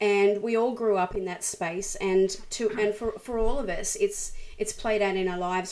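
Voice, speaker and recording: A woman talks at a moderate pace. She has an Australian accent. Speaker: worship leader and musician. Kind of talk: interview. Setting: video call.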